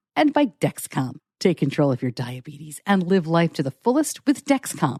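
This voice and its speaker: Fairly low in pitch, a woman speaks at a moderate pace with very wide pitch swings and a dark, mellow tone. The sound is dry and close with no echo, over a quiet background. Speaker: podcast host. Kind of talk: sponsor read.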